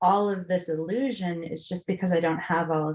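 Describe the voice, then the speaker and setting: A woman speaks with an American accent. Her pace is moderate and her intonation fairly even. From Massachusetts. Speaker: spiritual guest. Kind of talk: casual chat.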